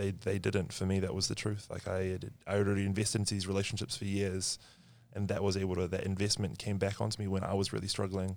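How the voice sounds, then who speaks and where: A man with a New Zealand accent and fairly low pitch speaks at a very fast pace in monotone, flat intonation, in a very clean recording with a silent background. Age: 20s. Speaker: marketing worker. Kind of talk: casual chat.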